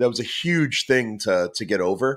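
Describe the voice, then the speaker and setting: Recorded very cleanly against a silent background, a man with an American accent speaks at medium pitch in a bright, sharp tone with lively intonation. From Boston, US. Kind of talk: podcast interview. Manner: halting, many fillers and repetitions.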